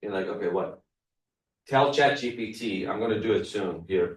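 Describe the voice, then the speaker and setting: A man speaks at a moderate pace with a non-native accent, his medium pitch carrying ordinary variation. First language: not English. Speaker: real estate trainer. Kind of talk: workshop presentation.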